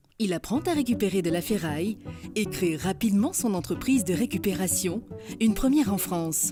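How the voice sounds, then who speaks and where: Over background music, the speaker uses lively intonation at a moderate pace. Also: woman. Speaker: voice-over artist. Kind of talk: corporate narration.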